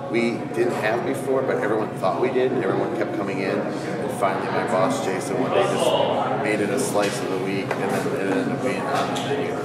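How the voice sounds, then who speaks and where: A man talks at a fairly quick pace with hardly any pauses and ordinary pitch variation, with audible room echo and loud background noise behind him. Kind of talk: interview answer. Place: shop.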